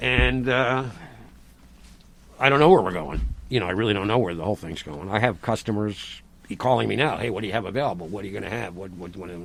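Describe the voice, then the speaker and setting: Speaking at a very fast pace, a man uses lively intonation and vocal fry, with big swings in loudness and long, frequent pauses. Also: fairly low pitch for a man. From Rhode Island. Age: 60s. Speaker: farmer. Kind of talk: casual chat. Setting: outdoors. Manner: animated.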